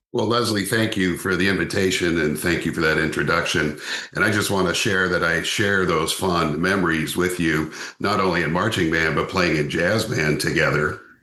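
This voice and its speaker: A man's very deep, low pitch at a moderate pace with fairly even intonation, amid noticeable background noise and audible room echo. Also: very even loudness. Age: 60s. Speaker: veteran music educator. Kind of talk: podcast interview.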